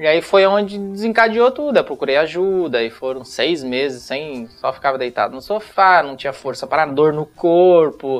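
A man with an ordinary speaking voice, fairly high in pitch, lively intonation and hardly any pauses. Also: moderate pace. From northern Paraná, Brazil. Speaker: retired footballer. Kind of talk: casual interview.

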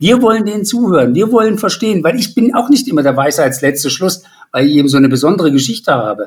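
The pace is very fast. The pitch swings very widely. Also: man. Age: 50s. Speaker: patient advocate with rare lung disease. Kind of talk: interview.

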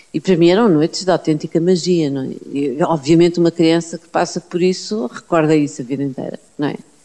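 Fairly low-pitched, a woman speaks with a dark, mellow tone. Her pace is fairly quick, with hardly any pauses. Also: ordinary pitch variation, big swings in loudness. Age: 50s. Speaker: university professor, biologist and writer. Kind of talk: interview. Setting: at her home.

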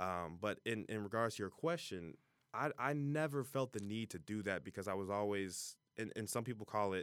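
Over a silent background in a very clean recording, a man with a fairly low pitch speaks at a moderate pace in a bright, sharp tone. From US Midwest (Ohio, Cincinnati area). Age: 20s. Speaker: author and college student. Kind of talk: casual interview chat.

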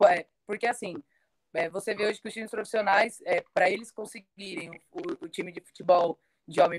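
Her plain, everyday voice at medium pitch, a woman speaks at a fairly quick pace with lively intonation and big swings in loudness, in a dry, close sound with no echo. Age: 20s. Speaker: women's football player. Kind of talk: panel discussion on live stream.

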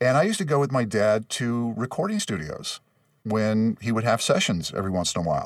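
Here a man speaks with a Californian accent. His pace is fairly quick. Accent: General American (Californian). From Los Angeles, West San Fernando Valley. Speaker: voice actor and announcer. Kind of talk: casual interview chat.

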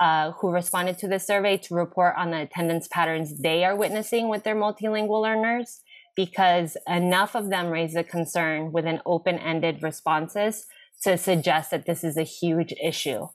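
A woman's fairly low voice with a Spanish accent, at a moderate pace with ordinary pitch variation. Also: very clean recording, silent background. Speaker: education policy advocate, former bilingual teacher. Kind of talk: interview conversation.

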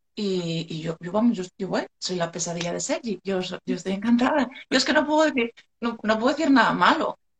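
Somewhat breathy, fairly quick speech with very wide pitch swings and hardly any pauses. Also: woman, fairly high pitch for a woman. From Asturias, Spain (Gijón). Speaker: beautician. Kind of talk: live stream interview. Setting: Instagram live video call.

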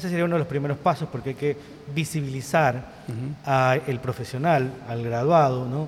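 A man with a fairly high pitch and fairly even intonation speaks at a moderate pace amid noticeable background noise. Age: 50s. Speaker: tourism professionals association president. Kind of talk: casual interview.

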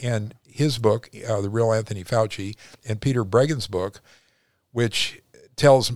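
A man speaks in a normal speaking voice, fairly low in pitch, with ordinary pitch variation at a moderate pace. The recording is very clean, with a silent background. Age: 60s. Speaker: retired cosmetic surgeon. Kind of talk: interview.

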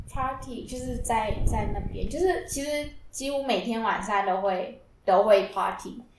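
A woman with a fairly high pitch and lively intonation speaks at a fairly slow pace with hardly any pauses, amid noticeable background noise and audible room echo. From South Africa. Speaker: Taiwanese-South African student. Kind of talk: casual chat.

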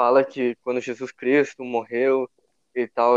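A man with a southern Brazilian accent speaks at a medium pitch and a fairly slow pace, his intonation monotone and flat. The sound is dry and close, with no echo. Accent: gaúcho Brazilian Portuguese. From southern Brazil, Rio Grande do Sul (São Leopoldo). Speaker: churchgoer sharing his faith story. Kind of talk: faith testimony in casual conversation.

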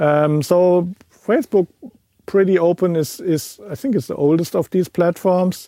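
A man with a German accent speaks at a fairly slow pace in a dark, mellow tone, his voice pitched high with ordinary pitch variation. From Germany. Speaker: podcast host and audio producer. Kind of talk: casual chat.

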